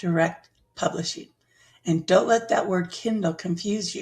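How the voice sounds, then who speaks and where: A woman's somewhat breathy, medium-pitched voice carries lively intonation. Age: 60s. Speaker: online business educator. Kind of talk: tutorial.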